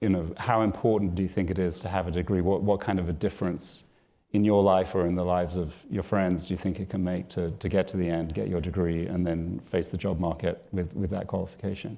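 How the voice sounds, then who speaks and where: A man with a British accent talks at a fairly quick pace with hardly any pauses, his pitch very deep and low and his tone dark and mellow. The recording is very clean, with a silent background. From Britain. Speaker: author and interviewer. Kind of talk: live onstage interview. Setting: stage with audience.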